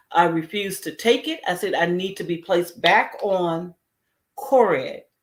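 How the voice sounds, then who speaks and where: A woman in a normal speaking voice at a moderate pace, with ordinary pitch variation. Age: 60s. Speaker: heart disease survivor sharing story. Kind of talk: testimony. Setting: community health event.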